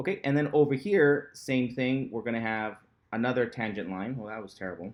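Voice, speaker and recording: In an unremarkable speaking voice, a man talks at a fairly quick pace and medium pitch, with lively intonation and big swings in loudness. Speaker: math instructor. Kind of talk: lecture.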